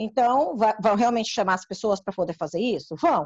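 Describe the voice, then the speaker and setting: In a dry, close sound with no echo, a woman speaks at a fairly quick pace. She has an ordinary speaking voice pitched fairly high. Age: 60s. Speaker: community council member. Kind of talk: informative panel discussion.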